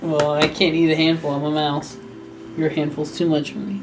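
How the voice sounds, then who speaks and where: The speaker uses a put-on character voice at a middle pitch. The pace is moderate, with clear background noise. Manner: giddy, goofy, high.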